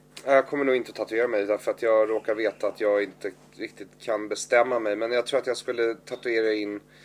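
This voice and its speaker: Fairly quick and with hardly any pauses, a man talks in a flat monotone. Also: medium pitch for a man. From Stockholm area, Sweden. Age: 30s. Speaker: comedian. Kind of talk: casual chat.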